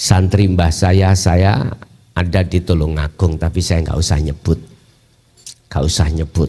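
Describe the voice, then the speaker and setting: A man with a very deep, low pitch talks at a fairly slow pace and keeps his loudness very even. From Mojokerto, East Java, Indonesia. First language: Javanese (speaking Indonesian). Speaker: Islamic Sufi teacher. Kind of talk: religious lecture. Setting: Islamic boarding school gathering.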